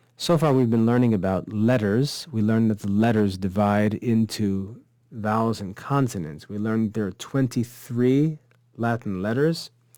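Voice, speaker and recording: A dark, mellow tone with lively intonation at a moderate pace. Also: man, big swings in loudness. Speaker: Latin teacher. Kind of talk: online course lecture. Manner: mumbling.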